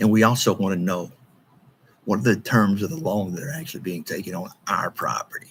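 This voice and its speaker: Speaking in an East Texas accent, the voice moves at a fairly quick pace with lively intonation and an animated tone. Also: man, fairly low pitch for a man, big swings in loudness. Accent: East Texas Southern US. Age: 60s. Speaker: local political commentator. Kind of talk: monologue video commentary.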